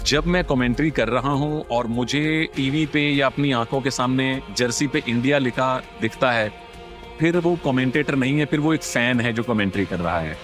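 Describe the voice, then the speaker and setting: With music in the background, a man speaks at a medium pitch, his loudness very even and his pitch varying in an ordinary way. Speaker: sports commentator. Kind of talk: podcast interview answer.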